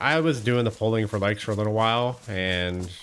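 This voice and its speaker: Noticeable background noise accompanies a man whose speech has ordinary pitch variation. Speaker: gaming livestreamer. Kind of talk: casual livestream chat with viewers. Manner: relaxed, conversational.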